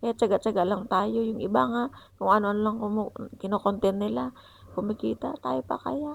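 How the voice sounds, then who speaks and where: A soft-spoken woman talks at a fairly quick pace in a medium pitch, with very wide pitch swings. The recording is very clean and the background silent. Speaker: vlogger. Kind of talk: vlog voice-over. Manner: halting.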